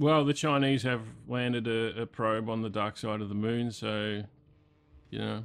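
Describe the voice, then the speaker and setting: Australian-accented male speech, moderate in pace. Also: medium pitch for a man, fairly even intonation. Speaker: metal podcast host. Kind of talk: casual chat. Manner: halting.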